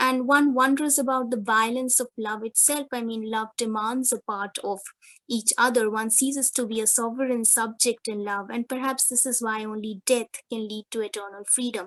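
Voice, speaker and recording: A woman with a Bengali accent speaks with hardly any pauses against a quiet background, her pitch fairly high and her intonation fairly even. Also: moderate pace, dry, close sound with no echo. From India, West Bengal. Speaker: academic presenter. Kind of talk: conference presentation.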